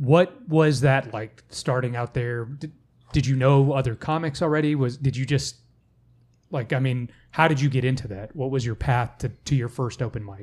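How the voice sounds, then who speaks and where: At a moderate pace, a man of medium pitch talks with ordinary pitch variation and a somewhat breathy sound, on a very clean recording with a silent background. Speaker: podcast co-host and beginning comic. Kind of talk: casual chat.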